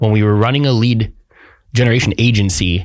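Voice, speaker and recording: On a very clean recording with a silent background, a man speaks at a moderate pace in a medium pitch. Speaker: podcast co-host, gym business coach. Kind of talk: casual chat. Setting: studio. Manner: monotone; dry, straight to the point.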